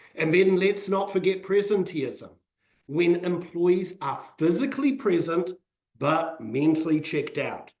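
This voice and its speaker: A fairly slow pace in a New Zealand accent. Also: man, high pitch for a man, ordinary pitch variation. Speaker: financial advisor. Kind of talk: webinar presentation.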